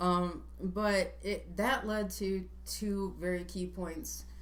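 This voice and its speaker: A woman's voice with audible room echo. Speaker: vlogger and would-be presidential candidate. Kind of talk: casual chat.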